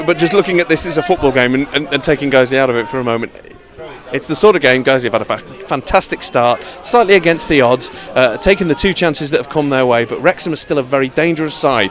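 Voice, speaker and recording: A man's very fast, lively-toned speech at a fairly high pitch, with music in the background. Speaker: football radio commentator. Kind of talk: live football radio commentary.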